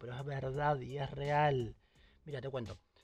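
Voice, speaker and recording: A man's voice sits at a medium pitch, with music playing in the background. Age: 20s. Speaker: podcast host. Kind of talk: solo monologue podcast. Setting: recording in a closet at home.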